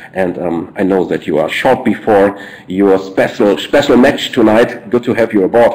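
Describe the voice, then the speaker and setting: Against noticeable background noise, a man with a German accent talks at a moderate pace in a fairly low pitch, with ordinary pitch variation. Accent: German, non-native English. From Germany, Ruhr coal region. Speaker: network marketing presenter. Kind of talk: business presentation webinar. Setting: online webinar. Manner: halting, frequent fillers and repeats.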